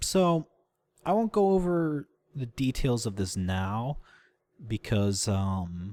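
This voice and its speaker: In a very clean recording with a silent background, a man with a dark, mellow tone speaks at medium pitch with very wide pitch swings. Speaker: gaming video creator. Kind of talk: gameplay commentary. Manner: halting; animated.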